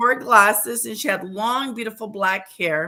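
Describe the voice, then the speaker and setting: A woman with an American accent. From West Texas. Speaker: teacher. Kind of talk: interview.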